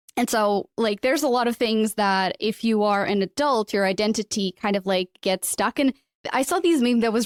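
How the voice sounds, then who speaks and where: In a Portuguese accent, a woman speaks at a fairly quick pace with a fairly high pitch and ordinary pitch variation. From Portugal. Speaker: podcast host. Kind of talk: interview. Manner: animated.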